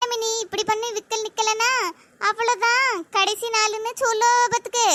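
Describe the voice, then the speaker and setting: A woman does a cartoonish character voice at an extremely high pitch, with very even loudness. Her intonation is monotone and flat, and her pace is moderate. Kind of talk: comic village gossip. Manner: boastful, chatty.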